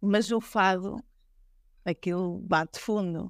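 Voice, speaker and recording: Captured in a very clean recording with a silent background and a dry, close sound with no echo, a woman speaks very slowly with fairly even intonation. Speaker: fado singer. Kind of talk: interview.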